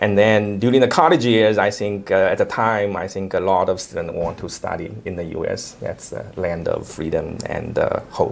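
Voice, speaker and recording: A man with a Chinese accent at a moderate pace, hardly any pauses, and noticeable background noise. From China. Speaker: investment manager, company founder. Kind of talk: interview. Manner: hesitant, frequent fillers.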